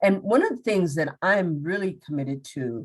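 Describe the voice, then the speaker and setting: This voice belongs to a woman. She speaks with an American accent. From Minnesota. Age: 60s. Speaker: public health speaker. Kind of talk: Q&A after presentation.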